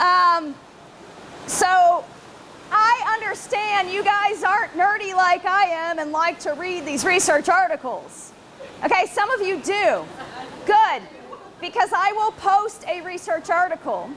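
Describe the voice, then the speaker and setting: Speaking at an extremely high pitch, a woman goes fairly slowly and leaves long, frequent pauses. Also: ordinary pitch variation. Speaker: researcher and conference presenter. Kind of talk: conference talk. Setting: conference room with audience, recorded on video. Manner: casual, conversational; loud.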